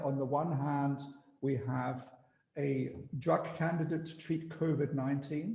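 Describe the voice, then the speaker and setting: Very slowly and with an Austrian accent, a man speaks at fairly high pitch in a dark, mellow, somewhat breathy tone with fairly even intonation, and room echo is audible. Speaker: biotech company executive. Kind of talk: business presentation. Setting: video call.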